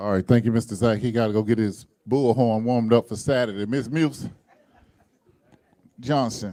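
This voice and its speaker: With an American accent, a man at a medium pitch speaks at a moderate pace in a dark, mellow tone, his intonation fairly even and his pauses long and frequent. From Florida. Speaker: club meeting host. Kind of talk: meeting emceeing.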